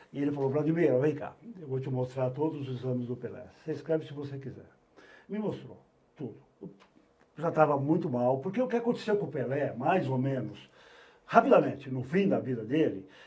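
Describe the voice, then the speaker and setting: At a fairly quick pace, a man speaks with lively intonation, big swings in loudness and long, frequent pauses, with audible room echo. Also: fairly high pitch for a man. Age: 70s. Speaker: veteran sports journalist. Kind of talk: casual chat.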